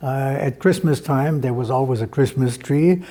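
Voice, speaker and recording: A man speaks with a fairly high pitch and ordinary pitch variation. Noticeable background noise runs underneath. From Germany and Austria (Berlin, Vienna). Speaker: Holocaust survivor. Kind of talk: oral history testimony.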